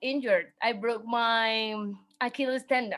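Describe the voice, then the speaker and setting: A woman speaks very slowly with fairly even intonation. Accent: Spanish. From Mexico City. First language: Spanish. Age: 20s. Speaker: dancer and fashion designer. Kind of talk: interview. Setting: video call.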